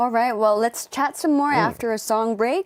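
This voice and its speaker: A woman with a normal speaking voice and a fairly high pitch uses lively intonation, recorded very cleanly with a silent background and a dry, close sound with no echo. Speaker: radio DJ. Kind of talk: radio interview hosting. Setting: studio.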